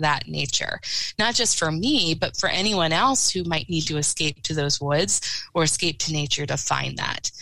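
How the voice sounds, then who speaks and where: A woman with an American accent speaks in a plain, everyday voice at a fairly low pitch, in a very clean recording with a silent background. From southern Lancaster County, Pennsylvania. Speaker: environmental nonprofit staff. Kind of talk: podcast interview.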